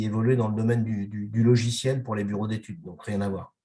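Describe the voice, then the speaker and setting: Fairly even intonation runs through a somewhat breathy voice. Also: man. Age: 60s. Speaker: company president. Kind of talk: interview. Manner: halting, many hesitations.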